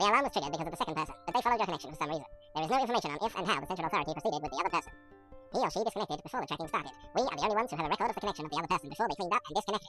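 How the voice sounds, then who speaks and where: A man's put-on character voice, high-pitched and very fast, with clear music in the background. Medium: read story. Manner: precise, unemotional.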